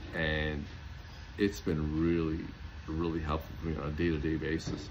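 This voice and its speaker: Audible room echo surrounds a man's very deep, low voice. He talks at a fairly quick pace. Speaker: homeopath and natural health product maker. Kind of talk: casual talk to camera. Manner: fast; animated.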